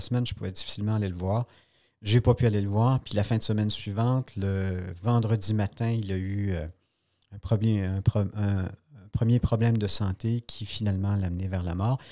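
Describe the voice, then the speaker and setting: A man with a Quebec accent speaks at a fairly quick pace and fairly low pitch, his tone dark and mellow, his intonation fairly even. The sound is dry and close with no echo, in a very clean recording with a silent background. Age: 60s. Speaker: journalist. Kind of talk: podcast interview.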